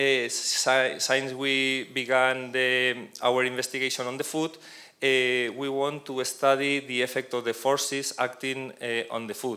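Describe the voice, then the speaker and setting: Speaking in a Spanish accent, a man delivers his words at a fairly slow pace with a bright, sharp tone. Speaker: professor. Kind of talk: conference presentation. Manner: halting, many hesitations and restarts. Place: hall. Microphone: handheld.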